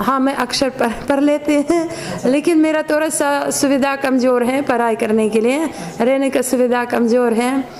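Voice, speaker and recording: With pitch that moves in a usual way, a woman talks over noticeable background noise. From Ukraine. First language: Ukrainian or Russian (speaking Hindi). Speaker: foreign devotee. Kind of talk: street interview. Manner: halting.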